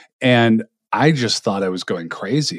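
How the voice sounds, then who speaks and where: A man speaks at medium pitch, the sound dry and close with no echo on a very clean recording with a silent background. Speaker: podcast host and author. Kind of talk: casual interview conversation.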